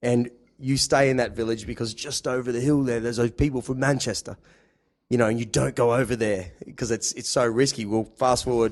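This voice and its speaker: A man with an Australian accent talks at a medium pitch and a fairly quick pace. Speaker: podcast host. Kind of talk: casual chat.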